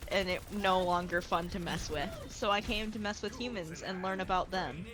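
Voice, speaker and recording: Words come at a moderate pace. The speaker talks with an American accent. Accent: American accent, teased by others. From United States. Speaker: VTuber streamer. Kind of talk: casual chat.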